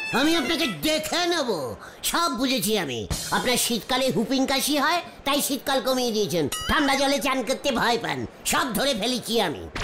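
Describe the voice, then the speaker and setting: A man does a cartoonish character voice at an extremely high pitch, raised and projected. He keeps a moderate pace over clear music in the background. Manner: blustering, mangles English words.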